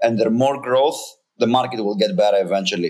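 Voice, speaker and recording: This man's voice is medium in pitch, and he keeps a moderate pace. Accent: Greek. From Greece. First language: Greek. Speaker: startup founder and CEO. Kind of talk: casual interview. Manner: halting, repeats words.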